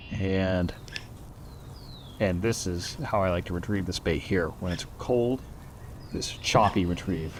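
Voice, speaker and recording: Quiet and relaxed in tone, a man talks at a fairly slow pace in a very deep, low voice. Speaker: fishing video host. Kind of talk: casual on-the-water fishing commentary. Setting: outdoors on the bank. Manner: quiet, relaxed.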